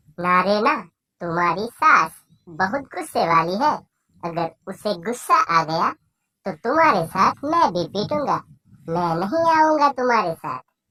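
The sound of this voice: This is a cartoonish character voice at a middle pitch. It moves slowly, fairly so, with very wide pitch swings. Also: female-sounding voice.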